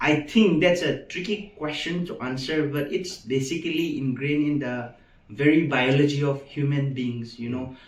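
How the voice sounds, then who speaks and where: A man talks at a moderate pace in a fairly high pitch with ordinary pitch variation. Audible room echo surrounds his voice. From Manipur, Northeast India. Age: 20s. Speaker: medical student. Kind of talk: interview. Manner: halting.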